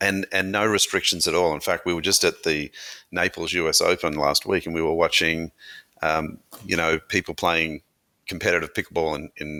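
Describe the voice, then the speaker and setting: With an Australian accent, a man speaks at a moderate pace in a very deep, low voice with a bright, sharp tone and a flat monotone, recorded very cleanly against a silent background with a dry, close sound and no echo. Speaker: brand founder and CEO. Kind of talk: interview.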